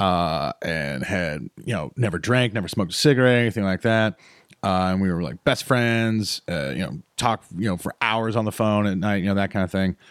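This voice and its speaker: An unremarkable speaking voice from a man with an American accent, fairly low in pitch, at a moderate pace with lively intonation. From North Carolina, Piedmont Triad (High Point). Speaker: comedian. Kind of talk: casual interview storytelling. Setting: studio.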